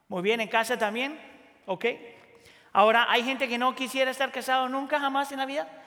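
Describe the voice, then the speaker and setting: A man speaks at an extremely high pitch in a raised, projected voice with ordinary pitch variation. His pace is fairly quick, broken by long, frequent pauses. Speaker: pastor. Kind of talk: sermon. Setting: church.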